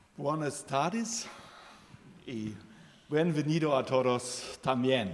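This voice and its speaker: With a German accent and a fairly high pitch, a man speaks at a very slow pace with lively intonation over noticeable background noise. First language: German (speaking Spanish). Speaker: president of a support association. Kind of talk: formal ceremonial speech. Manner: halting.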